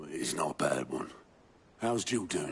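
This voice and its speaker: In a raspy, put-on character voice, a man speaks at a moderate pace. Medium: video game. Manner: gruff, dry, grumbling.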